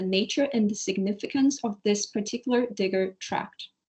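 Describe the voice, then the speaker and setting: A somewhat breathy woman's voice at a medium pitch, with ordinary pitch variation and a moderate pace. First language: Portuguese. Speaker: PhD researcher presenting a paper. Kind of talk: academic paper presentation. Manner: halting, stumbling over words.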